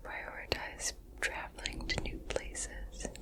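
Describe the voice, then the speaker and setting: Very slow whispering from a woman, noticeable background noise behind it. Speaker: ASMR creator. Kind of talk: ASMR whisper ramble. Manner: whispered, soft-spoken; relaxed, casual.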